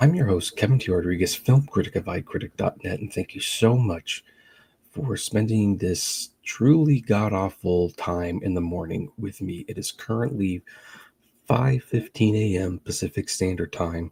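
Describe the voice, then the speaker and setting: A man talks at a moderate pace with a fairly low pitch and a dark, mellow, somewhat breathy tone. His intonation is lively, and the sound is dry and close with no echo. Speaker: film critic and podcast host. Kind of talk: live-stream reaction chat. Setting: home live stream, early morning. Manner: speaking quieter than usual. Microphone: live stream audio quieter than usual.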